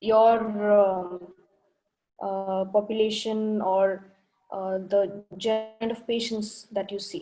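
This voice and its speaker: A woman with a Telugu accent speaks at a very slow pace in a dark, mellow tone, her intonation monotone and flat, with long, frequent pauses. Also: medium pitch for a woman. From India (Bangalore). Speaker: ophthalmic plastic surgeon presenting. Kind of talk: lecture.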